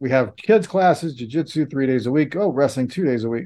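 This man has a normal speaking voice with a medium pitch. His pitch variation is ordinary. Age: 50s. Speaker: podcast host, forensic psychologist. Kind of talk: casual interview.

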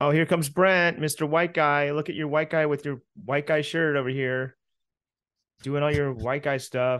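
Against a quiet background, a man with a fairly high voice speaks at a moderate pace with fairly even intonation. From US Midwest. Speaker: podcast co-host. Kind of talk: casual chat. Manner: loud.

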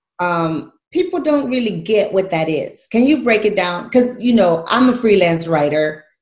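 A woman's medium-pitched, somewhat breathy voice, animated in tone, with very wide pitch swings, at a moderate pace with hardly any pauses. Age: 40s. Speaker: radio show host, fitness and lifestyle coach. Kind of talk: casual chat.

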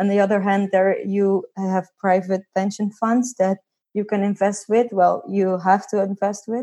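In a Dutch accent, a woman speaks at a medium pitch and a moderate pace in a flat monotone. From Netherlands. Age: 20s. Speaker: financial independence blogger. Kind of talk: interview.

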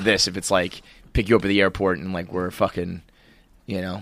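With an ordinary speaking voice, a man talks at a fairly quick pace in a fairly low pitch. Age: 30s. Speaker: comedy podcast host. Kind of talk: casual chat.

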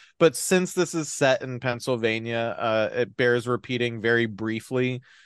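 Recorded dry and close with no echo against a quiet background, a man with an American accent and a normal speaking voice talks at a moderate pace, his medium pitch paired with fairly even intonation. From New Jersey. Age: 30s. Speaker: podcast host. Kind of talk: casual chat.

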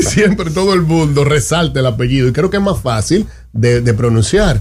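This man's voice is somewhat breathy and fairly high, with lively intonation and a fairly quick pace. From Santo Domingo, Dominican Republic. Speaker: politician, parliamentary candidate. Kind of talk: radio interview. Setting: radio studio.

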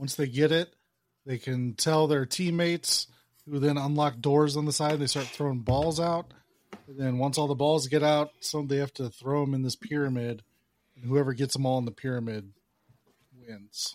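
A man with a plain, everyday voice speaks at a moderate pace, his fairly high pitch held in a fairly even intonation. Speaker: podcast host. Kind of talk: casual chat.

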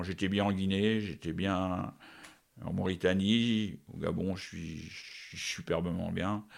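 Intonation remains fairly even. The pace is very slow. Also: man. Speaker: national football team coach. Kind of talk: interview. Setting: at his home. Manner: halting, with many repetitions.

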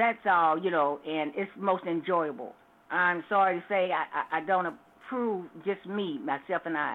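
A woman with an ordinary speaking voice, fairly low pitch, ordinary pitch variation and a fairly slow pace. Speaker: caller. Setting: phone call.

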